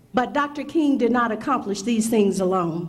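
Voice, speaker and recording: A woman speaks, and the room echo can be heard. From Mississippi. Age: 60s. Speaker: prosecutor, keynote speaker. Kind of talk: speech.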